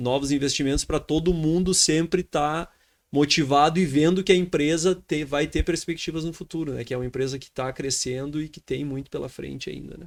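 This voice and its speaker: On a very clean recording with a silent background, a man with an ordinary speaking voice and fairly high pitch talks at a fairly quick pace, his intonation fairly even and his loudness swinging widely. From Brazil, Rio Grande do Sul. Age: 30s. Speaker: grain trading entrepreneur. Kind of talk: podcast interview.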